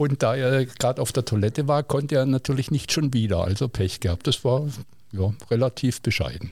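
On a very clean recording with a silent background, a somewhat breathy man talks fairly quickly in a medium pitch, his loudness very even and his pitch varying in an ordinary way. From southwest Germany, Villingen (Baden-Württemberg). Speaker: teacher. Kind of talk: casual interview.

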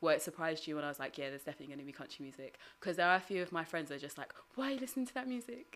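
At a very fast pace, a woman's fairly low pitch makes very wide swings while her loudness shifts in big swings. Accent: British. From Britain. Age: 30s. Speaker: poet and HIV activist. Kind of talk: casual chat.

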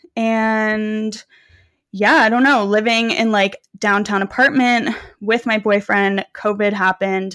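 Very even in loudness, a woman with a fairly high voice talks at a fairly slow pace with fairly even intonation, in a very clean recording with a silent background. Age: 20s. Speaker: fitness coach and content creator. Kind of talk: casual chat.

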